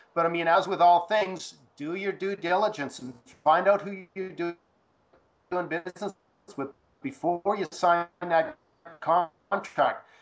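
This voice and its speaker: Over music in the background, a man talks at a high pitch. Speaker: real estate advisor. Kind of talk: call-in interview.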